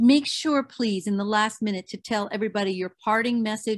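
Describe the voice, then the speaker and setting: Over a quiet background, a woman with a normal speaking voice and a fairly high pitch talks with ordinary pitch variation. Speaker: radio host. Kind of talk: radio interview.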